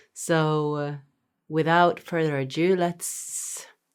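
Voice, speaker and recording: A woman with a Norwegian accent, a very deep, low pitch, ordinary pitch variation and a very slow pace, in a very clean recording with a silent background. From Norway. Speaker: music reaction youtuber. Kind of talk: casual talk to camera. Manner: hesitant, many fillers.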